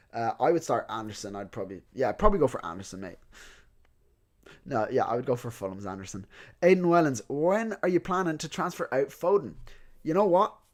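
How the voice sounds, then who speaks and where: A man speaks at a fairly quick pace in a fairly high pitch, with very wide pitch swings and big shifts in loudness. Long pauses come often, and the recording is very clean with a silent background. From Ireland (County Louth, Dundalk) until five, then moved around abroad. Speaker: fantasy football content creator. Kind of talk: live stream Q&A. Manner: casual, chatty.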